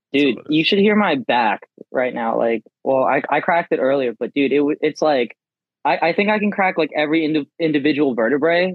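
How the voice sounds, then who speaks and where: Fairly quick, lively speech from a man with a plain, everyday voice, fairly high pitch, and very even loudness. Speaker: podcast co-host. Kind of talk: casual chat.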